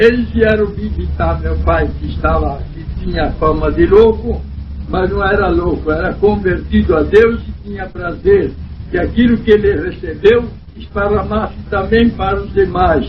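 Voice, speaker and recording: A man at a fairly slow pace, with big swings in loudness, noticeable background noise and audible room echo. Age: 70s. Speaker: church elder. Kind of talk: testimony.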